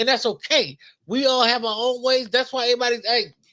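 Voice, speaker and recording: With an American accent, a man projects his raised voice at an extremely high pitch and a fairly quick pace, his tone bright and sharp. The recording is very clean, with a silent background. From Los Angeles, South Central. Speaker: podcast co-host. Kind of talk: casual chat.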